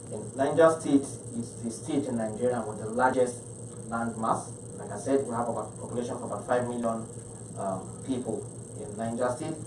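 Noticeable background noise sits under a man speaking at a moderate pace with long, frequent pauses. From Nigeria, Niger State. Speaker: state health commissioner. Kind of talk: panel presentation. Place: meeting room. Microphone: podium.

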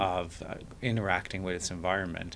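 A man talks with an Irish accent. Light background noise sits behind him. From Ireland, Dublin. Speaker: podcast guest, architect. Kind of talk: interview. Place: studio. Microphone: studio mic.

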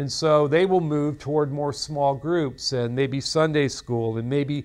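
Ordinary pitch variation in a man's voice. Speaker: seminary lecturer. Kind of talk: lecture. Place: studio. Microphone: lapel.

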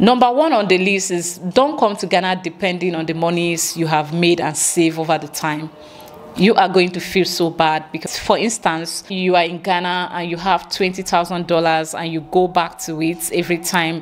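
A woman's fairly low voice with ordinary pitch variation, music in the background. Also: moderate pace. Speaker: lifestyle vlogger. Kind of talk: casual vlog chat. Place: home room. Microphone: handheld.

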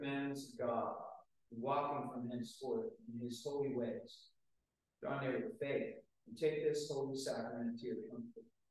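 Against a quiet background with strong room echo, a man speaks at a moderate pace and a fairly high pitch. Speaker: gospel reader. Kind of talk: scripture reading. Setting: church. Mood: solemn, measured. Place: church. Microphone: camera far.

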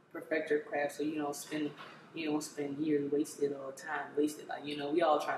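A woman speaks with an American accent in a very deep, low pitch. Her intonation is monotone and flat, and there is noticeable background noise. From Maryland, Prince George's County. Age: 20s. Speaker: rapper. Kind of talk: interview. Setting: studio. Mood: relaxed, casual. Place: home room.

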